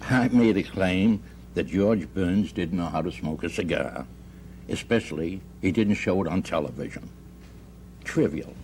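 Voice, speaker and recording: A man's very deep, low voice with vocal fry and lively intonation, at a moderate pace broken by long, frequent pauses. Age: 70s. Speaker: husband in a mediation case. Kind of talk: radio mediation hearing testimony.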